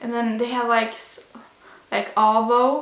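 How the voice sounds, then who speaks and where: With a Swedish accent, a woman with a fairly high pitch speaks at a fairly slow pace amid audible room echo and noticeable background noise. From Sweden. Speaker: vlogger. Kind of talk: casual sit-down vlog. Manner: casual, hesitant with fillers.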